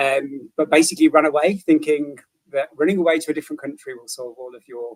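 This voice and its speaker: Recorded with a dry, close sound and no echo, a man in a British accent talks fairly quickly at a fairly high pitch with ordinary pitch variation. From the English Midlands. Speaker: recovery coach. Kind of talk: interview. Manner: halting, repeats words.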